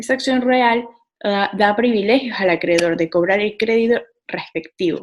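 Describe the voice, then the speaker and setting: Here is a woman with a plain, everyday voice, fairly high in pitch. She talks at a fairly slow pace with ordinary pitch variation. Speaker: law student presenter. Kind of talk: lecture.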